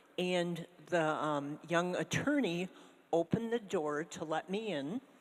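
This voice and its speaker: Very slow pace with lively intonation. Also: woman. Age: 70s. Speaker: audience member. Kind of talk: personal anecdote.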